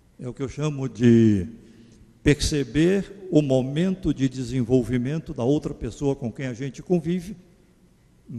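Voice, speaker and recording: With a dark, mellow tone, a man speaks somewhat breathily and with lively intonation. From Pernambuco, Brazil (Garanhuns). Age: 70s. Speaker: psychologist giving a lecture. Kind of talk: lecture. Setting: church. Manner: conversational, informal.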